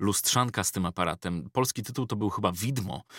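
A man with an unremarkable speaking voice talks at a fairly low pitch with lively intonation. The recording is very clean with a silent background, and the sound is dry and close with no echo. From Poland, Ostrołęka area. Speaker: voice-over artist and YouTuber. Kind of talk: casual interview chat.

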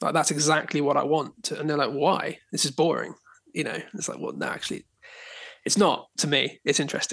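A man with a southern English accent, fairly high-pitched for a man, with vocal fry, fairly even intonation and a fairly quick pace over a quiet background. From southern England, Dorset. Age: 30s. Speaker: photographer. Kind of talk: casual chat.

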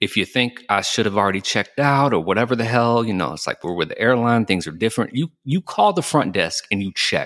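A man with a Southern US accent speaks very fast with a medium pitch and lively intonation. The recording is very clean with a silent background and a dry, close sound with no echo. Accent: Southern American. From US South (Georgia). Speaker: podcast host and cigar lounge owner. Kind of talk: casual chat. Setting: recording in his cigar lounge.

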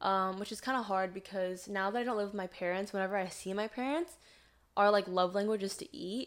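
A woman with an ordinary speaking voice, medium pitch, ordinary pitch variation and a fairly quick pace, on a very clean recording with a silent background. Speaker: social media creator. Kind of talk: casual chat. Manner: rambling, unscripted.

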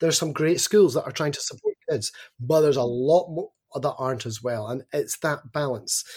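Somewhat breathy, a man talks at a fairly quick pace in an animated tone. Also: ordinary pitch variation, dry, close sound with no echo. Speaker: education advocate with doctorate, teaches students. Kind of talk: podcast interview. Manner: animated, opinionated.

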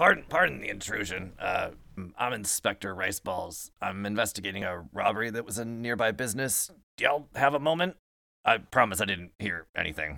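Putting on a raspy character voice, a man speaks at a moderate pace with fairly low pitch and lively intonation. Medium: actual play. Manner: polite, apologetic, methodical.

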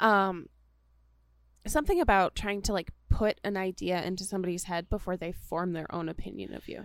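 A woman speaks at a fairly quick pace with fairly even intonation, on a very clean recording with a silent background. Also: medium pitch for a woman, big swings in loudness. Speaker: podcast co-host. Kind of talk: casual chat. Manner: loud.

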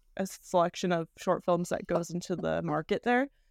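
A woman with a normal speaking voice talks at a medium pitch with ordinary pitch variation, in a dry, close sound with no echo on a very clean recording with a silent background. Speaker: screenwriter and filmmaker. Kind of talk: casual interview chat.

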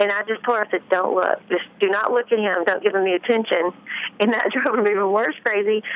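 Over noticeable background noise, a woman with a Memphis accent speaks at medium pitch, her loudness very even and her intonation fairly even. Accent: Southern US (Memphis area). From US South, Tennessee near Memphis. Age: 30s. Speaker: author and ex-wife of a pro golfer. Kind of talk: interview.

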